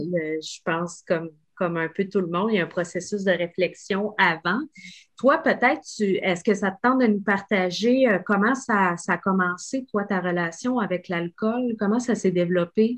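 Against a quiet background, a woman with an unremarkable speaking voice talks at a fairly slow pace, medium pitch and ordinary pitch variation. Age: 40s. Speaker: podcast host. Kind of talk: casual interview.

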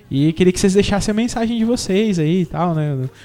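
With lively intonation and a moderate pace, a man talks in an ordinary speaking voice. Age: 30s. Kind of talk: casual chat.

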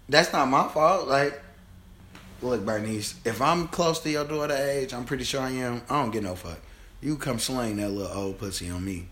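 With an American accent, a man speaks at medium pitch and a moderate pace, his intonation lively and some room echo audible. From Chicago. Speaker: podcast host. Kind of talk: casual chat.

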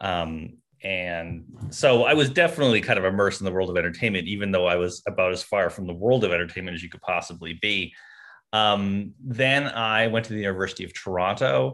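Over a quiet background, a man with a fairly low pitch and an unremarkable speaking voice talks at a fairly quick pace with ordinary pitch variation. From Canada (rural Ontario). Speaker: TV comedy writer. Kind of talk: interview.

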